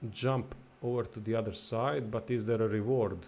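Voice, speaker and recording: A man speaks with a non-native accent at medium pitch. His pace is moderate and his pitch varies in an ordinary way. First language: not English. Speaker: gaming livestreamer. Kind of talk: live gameplay commentary. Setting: livestream. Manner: casual, reactive.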